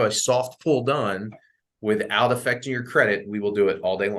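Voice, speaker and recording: A man speaks at medium pitch. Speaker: mortgage loan officer. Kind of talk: presentation with Q&A to real estate agents. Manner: fast.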